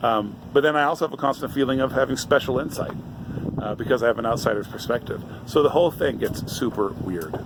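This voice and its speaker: Talking at a fairly quick pace in an American accent, a man can be heard over noticeable background noise. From Brazil and United States. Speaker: vlogger. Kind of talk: casual talk to camera.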